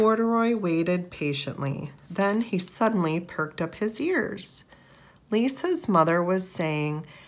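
Reading aloud, plainly done

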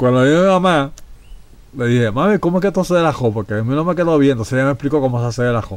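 With lively intonation and a very fast pace, a man talks in a fairly high pitch. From Puerto Rico, Ponce. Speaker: podcast host. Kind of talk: casual chat.

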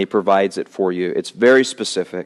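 A man with an American accent and an ordinary speaking voice, fairly low in pitch, at a moderate pace against a quiet background. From US South. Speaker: pastor. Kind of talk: sermon. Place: church. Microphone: headset.

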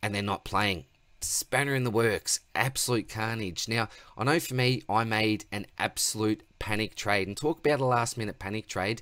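This man has a bright, sharp tone and ordinary pitch variation at a moderate pace. The sound is dry with no echo, over a quiet background. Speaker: fantasy sports channel host. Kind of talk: casual vlog chat. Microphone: webcam.

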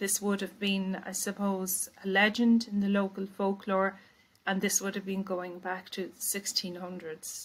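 In an Irish accent, the speech comes at a fairly slow pace with monotone, flat intonation. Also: woman. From Ireland. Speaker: poet. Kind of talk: poet introducing her work. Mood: calm, explanatory. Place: home room. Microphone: webcam.

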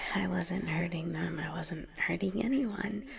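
Amid noticeable background noise, a voice speaks at a fairly slow pace in a nervous, sinister tone. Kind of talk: ASMR roleplay monologue, scripted yandere girlfriend character. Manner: intimate, soft and sweet, slipping between giddy and anxious; nervous laughs, stammering, and sudden shifts to sinister calm.

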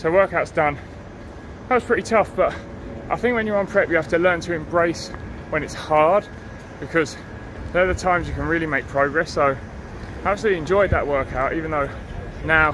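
Over noticeable background noise, a man talks in a high voice with ordinary pitch variation. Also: fairly quick pace. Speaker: physique competitor vlogger. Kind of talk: casual vlog chat. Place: street. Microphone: phone near.

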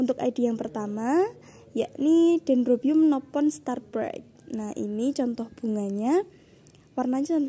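Her voice is high-pitched, with a dark, mellow tone. This woman talks at a fairly slow pace with ordinary pitch variation. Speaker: online orchid seller. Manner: repetitive, enthusiastic, persuasive. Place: garden. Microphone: phone near.

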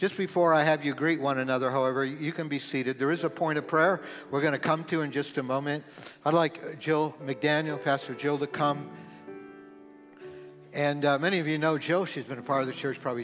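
Over clear music in the background, a man talks at a fairly quick pace with fairly even intonation. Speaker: pastor. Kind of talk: church announcements and welcome. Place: church. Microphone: headset.

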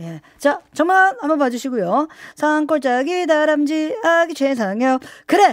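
A woman speaks at a high pitch. The sound is dry with no echo, over a quiet background. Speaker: radio show host. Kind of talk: radio host banter and cueing. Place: studio.

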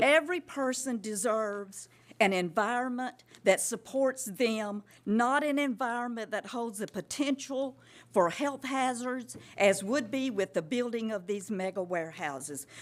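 At a fairly slow pace, a woman with a coastal Georgia accent and a fairly high pitch speaks with lively intonation in a very clean recording with a silent background. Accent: Southern US (coastal Georgia). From US South. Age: 70s. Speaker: resident speaking at public comment. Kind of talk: public comment at county meeting. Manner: impassioned.

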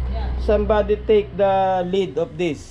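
Light background noise accompanies a man speaking with a Filipino accent. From Philippines. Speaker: vlogger. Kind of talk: casual vlog tour. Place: home room. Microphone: phone near.

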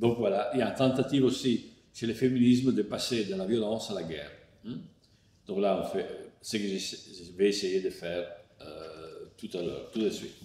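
A man with an Italian accent and a fairly low, dark, mellow voice speaks at a moderate pace with ordinary pitch variation. Long, frequent pauses break up his speech, and the room echo is audible. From Italy. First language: Italian (speaking French). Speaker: philosopher; philosopher lecturer. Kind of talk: lecture partly read from a text. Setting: online lecture. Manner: hesitant, many fillers (euh, hein). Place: home room.

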